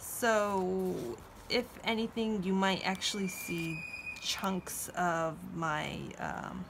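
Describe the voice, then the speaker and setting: The speech moves at a very slow pace, with noticeable background noise underneath. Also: woman. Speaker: journaling vlogger. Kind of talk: casual vlog talk. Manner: stutters, hesitant with many fillers.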